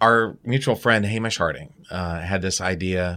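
In a very clean recording with a silent background, a man with an American accent speaks in a very deep, low voice with a bright, sharp tone and ordinary pitch variation. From Baltimore, US. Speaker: astronaut. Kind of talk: interview.

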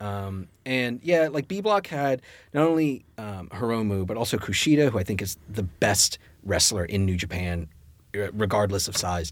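A man with an ordinary speaking voice talks at a moderate pace and a fairly low pitch with lively intonation, on a very clean recording with a silent background. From US South, Richmond, Virginia. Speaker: comic book writer. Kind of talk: casual chat.

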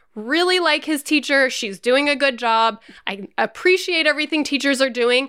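Raised and projected, a woman's high-pitched voice carries a bright, sharp tone at a moderate pace, with ordinary pitch variation on a very clean recording over a silent background. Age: 40s. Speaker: parenting podcast co-host. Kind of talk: casual chat.

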